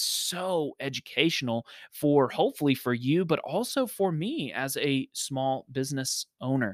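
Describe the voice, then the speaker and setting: Fairly high in pitch, a man talks at a fairly slow pace with ordinary pitch variation in a dry, close sound with no echo. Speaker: podcast host. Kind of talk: clip-show introductions and interviews. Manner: halting, filler words.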